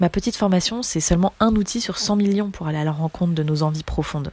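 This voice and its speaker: Recorded dry and close with no echo, a woman speaks in a fairly low, somewhat breathy voice with a dark, mellow tone and ordinary pitch variation. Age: 20s. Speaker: speech therapist and singer. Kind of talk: personal monologue.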